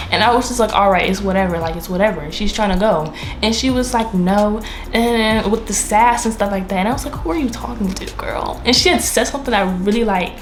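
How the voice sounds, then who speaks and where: A woman with an American accent talks at a fairly quick pace, at medium pitch with ordinary pitch variation. Audible room echo and noticeable background noise are present. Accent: DMV accent, stronger when angry. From DMV area (Washington DC region), US. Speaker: YouTuber. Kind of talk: storytime monologue. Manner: casual, filler-heavy.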